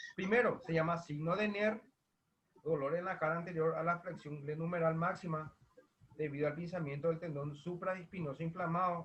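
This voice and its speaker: High pitch for a man, with ordinary pitch variation. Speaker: physiotherapy teacher. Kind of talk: online lecture. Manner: fast. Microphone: quiet.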